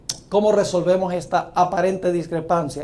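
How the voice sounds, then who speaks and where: Amid audible room echo, a man with a dark, mellow tone and high pitch speaks at a fairly slow pace. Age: 60s. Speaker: preacher. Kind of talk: sermon.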